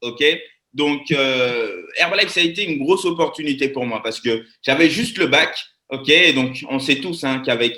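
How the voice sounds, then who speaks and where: The tone is animated. The pace is fairly slow. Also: man. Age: 20s. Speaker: network marketing presenter. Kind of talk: live webinar presentation.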